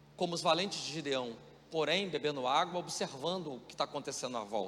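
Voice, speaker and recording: The tone is bright and sharp, with lively intonation at a fairly quick pace. Loudness swings widely, and room echo is audible. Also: man, fairly high pitch for a man. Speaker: pastor. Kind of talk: sermon. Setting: church.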